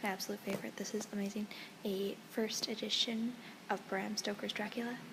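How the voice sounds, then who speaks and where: The voice is quiet and moves at a fairly quick pace over noticeable background noise. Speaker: travel vlogger. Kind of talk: casual vlog to camera. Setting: indoors in a museum. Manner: very quiet.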